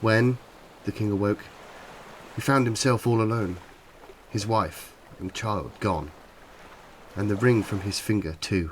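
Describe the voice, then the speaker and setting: With an English accent, a man of fairly low pitch talks at a fairly slow pace with ordinary pitch variation and long, frequent pauses. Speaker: narrator. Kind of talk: fairy tale reading.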